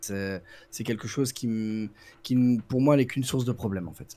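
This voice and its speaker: Medium pitch and a dark, mellow tone from a man with a slight Brussels accent, ordinary pitch variation and a moderate pace. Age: 40s. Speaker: prison guard. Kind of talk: interview. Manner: halting.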